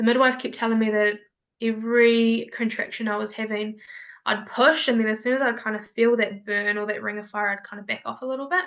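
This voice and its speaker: A woman with an ordinary speaking voice talks at a fairly quick pace, her pitch fairly high and her loudness swinging widely. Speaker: mother sharing birth story. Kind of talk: casual interview, personal storytelling.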